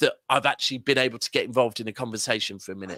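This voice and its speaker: A man in a southern English accent speaks with an animated, bright, sharp tone at a medium pitch, the sound dry and close with no echo. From Manchester, northern England. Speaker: football fan pundit. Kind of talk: casual chat.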